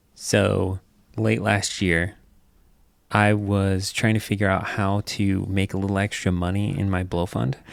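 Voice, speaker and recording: Soft-spoken and fairly low in pitch, a man speaks fairly slowly with very even loudness and fairly even intonation on a very clean recording with a silent background. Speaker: podcast host. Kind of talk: casual storytelling chat. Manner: quiet, soft-spoken.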